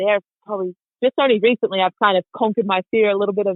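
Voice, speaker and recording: A woman with an Australian accent talks very fast at a medium pitch. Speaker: motorcycle racer and riding instructor. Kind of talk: podcast interview.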